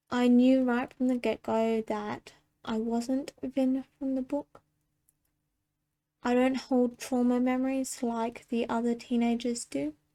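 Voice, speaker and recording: On a very clean recording with a silent background, a woman with a high pitch and dark, mellow tone speaks at a very slow pace in monotone, flat intonation. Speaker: mental health vlogger. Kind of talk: personal video monologue.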